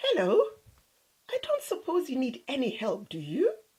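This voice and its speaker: A woman puts on a squeaky character voice with an extremely high pitch. She speaks at a moderate pace. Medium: read story.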